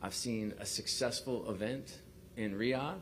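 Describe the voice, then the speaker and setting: In a New York accent, a man speaks with audible room echo around him. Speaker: sports league executive. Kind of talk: press conference. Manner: halting, many fillers and repeats.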